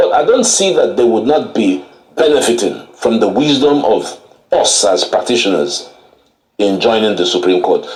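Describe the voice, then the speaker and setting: Audible room echo surrounds this man's voice. He speaks at a moderate pace with very even loudness. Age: 70s. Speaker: lawyer. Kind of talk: TV interview. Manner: animated.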